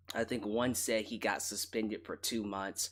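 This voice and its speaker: Quiet and monotone, a man speaks at a medium pitch with flat intonation and a fairly slow pace. The recording is very clean, with a silent background. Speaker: wrestling commentary host. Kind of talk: casual commentary monologue. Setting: late night home broadcast. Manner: quiet, relaxed.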